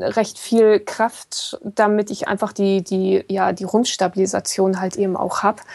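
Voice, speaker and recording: Speaking fairly slowly, this woman has a dark, mellow tone. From northern Germany, Kiel. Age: 40s. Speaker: ultrarunner and blogger. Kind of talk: casual chat.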